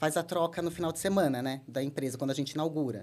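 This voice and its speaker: A woman with an ordinary speaking voice and ordinary pitch variation. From São Paulo state, Brazil (Americana). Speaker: marketing and brand director. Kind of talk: podcast interview.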